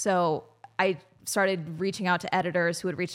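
A woman with a fairly low pitch and fairly even intonation. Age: 20s. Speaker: YouTuber and commentary creator. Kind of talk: casual interview chat.

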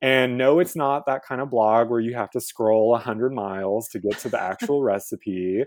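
In a normal speaking voice, a man talks at a moderate pace and medium pitch with ordinary pitch variation and hardly any pauses. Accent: American. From Texas, Houston. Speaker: cooking show host. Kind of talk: interview.

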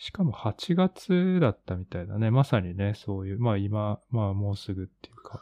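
In a normal speaking voice, the speaker keeps a moderate pace with ordinary pitch variation while loudness swings widely. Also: man, fairly low pitch for a man. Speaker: podcast co-host, art practitioner. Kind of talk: casual chat.

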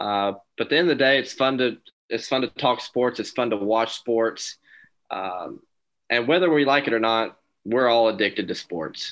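With an American accent, a man speaks in a normal speaking voice at a medium pitch and moderate pace, with ordinary pitch variation and a quiet background. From North Carolina. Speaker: sports podcast co-host. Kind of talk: casual chat.

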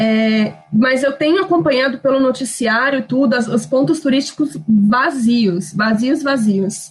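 A woman talks fairly slowly, her voice high and her intonation lively. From Brazil, Minas Gerais / Espírito Santo. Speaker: former flight attendant, expat. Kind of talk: casual group chat.

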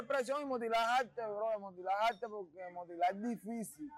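A man speaks with a high-pitched voice. His pitch moves in an ordinary way. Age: 20s. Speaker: rapper. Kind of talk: casual interview monologue.

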